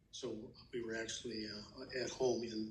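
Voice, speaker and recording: Room echo is audible as a man speaks. His medium-pitched voice stays flat and monotone. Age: 70s. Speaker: grandfather interviewed for school project. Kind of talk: interview. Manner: halting, many fillers.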